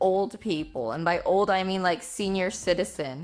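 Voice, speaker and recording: Over music in the background, a woman speaks at a fairly slow pace and a fairly low pitch. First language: Spanish. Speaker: book YouTuber. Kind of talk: casual vlog talk. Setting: home, at her desktop. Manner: casual, filler-heavy.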